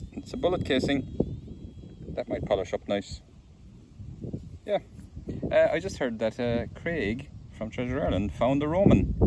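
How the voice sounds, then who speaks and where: A man at a moderate pace with long, frequent pauses, under noticeable background noise. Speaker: metal detectorist vlogger. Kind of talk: casual vlog narration. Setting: outdoors.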